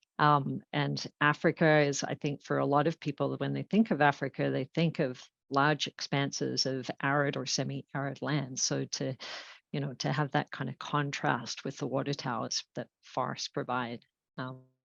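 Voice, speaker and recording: Against a quiet background, a woman with an Australian accent talks at a moderate pace, the sound dry and close with no echo. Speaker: environmental nonprofit founder. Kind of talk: interview conversation.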